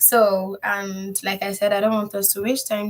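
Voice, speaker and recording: A woman talks fairly slowly in a somewhat breathy voice. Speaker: freelancing coach. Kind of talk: online class. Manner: casual.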